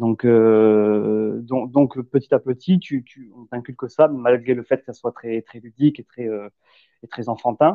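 Speaking at a very slow pace with hardly any pauses, a man with a medium pitch keeps a fairly even intonation while his loudness swings widely. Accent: southwestern French. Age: 30s. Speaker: ex-gendarme, landscaper. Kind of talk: casual chat.

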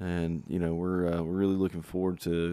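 A man speaks in a Southern US accent with a very deep, low pitch and ordinary pitch variation. The recording is very clean, with a silent background. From South Carolina. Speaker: country singer-songwriter and podcast host. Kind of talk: casual solo podcast talk. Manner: casual with many fillers.

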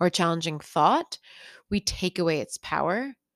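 Fairly low-pitched with ordinary pitch variation, a woman speaks in an ordinary speaking voice on a very clean recording with a silent background and a dry, close sound with no echo. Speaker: meditation teacher. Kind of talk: guided meditation for pain relief, gently leading breath and body awareness. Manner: gentle, soothing and unhurried, with slow reassuring pacing; warm and casual, lightly humorous and encouraging.

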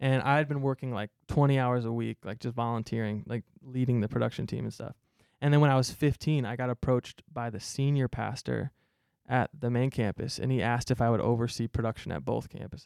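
In a normal speaking voice, a man with an American accent talks at a fairly quick pace and medium pitch with fairly even intonation, in a dry, close sound with no echo. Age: 20s. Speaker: youth pastor. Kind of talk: casual chat. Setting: studio.

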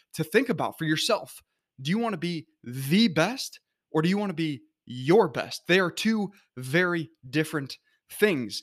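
On a very clean recording with a silent background, a man with a plain, everyday voice speaks at a moderate pace and a fairly high pitch, with lively intonation. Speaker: motivational speaker. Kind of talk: pep talk. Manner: earnest, encouraging; direct, rallying.

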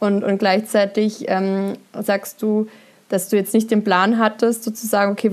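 A woman at medium pitch and a moderate pace. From southern Germany, Upper Swabia. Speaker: podcast host and coach. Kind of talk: casual interview. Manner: animated.

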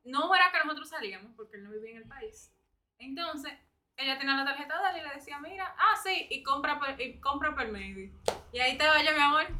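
The voice is raised and projected, with a bright, sharp tone and lively intonation. It moves at a fairly quick pace with big swings in loudness. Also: woman, high pitch for a woman. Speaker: podcast guest. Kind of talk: casual chat.

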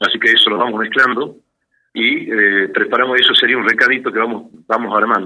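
A man's fairly quick delivery at very even loudness. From Salta, northwest Argentina. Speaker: architect and cook. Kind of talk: cooking tutorial.

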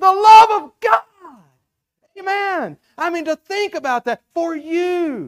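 A man with a Southern US accent speaks at an extremely high pitch with lively intonation, the sound dry and close with no echo. He goes very slowly, leaving long, frequent pauses. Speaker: preacher. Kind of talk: sermon. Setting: church.

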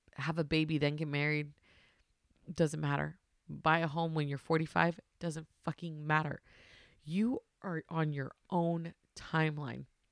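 Dry and close with no echo, a woman's very deep, low voice moves at a fairly slow pace in a monotone, flat manner, with long, frequent pauses. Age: 30s. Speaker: podcast host, stay-at-home mom. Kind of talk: personal monologue reading a letter to herself.

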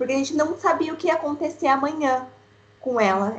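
A woman talks at a moderate pace. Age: 20s. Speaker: mother of child with kidney disease. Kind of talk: casual chat.

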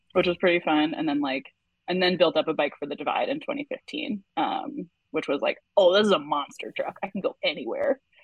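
Sweeping through very wide pitch swings, a woman with a medium pitch speaks with an American accent. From Wisconsin, US Midwest. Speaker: bikepacking racer. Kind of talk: casual interview chat.

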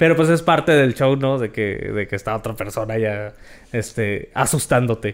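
A normal speaking voice at a moderate pace, in a very clean recording with a silent background. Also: man. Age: 20s. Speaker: comedy podcast co-host. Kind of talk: casual comedic chat.

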